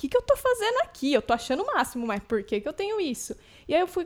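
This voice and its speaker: The woman's intonation is lively. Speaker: podcast host, dancer. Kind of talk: casual podcast chat. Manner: energetic.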